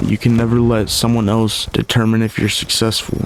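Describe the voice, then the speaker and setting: A fairly low-pitched man with noticeable background noise. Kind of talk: casual gameplay commentary. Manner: casual, reflective.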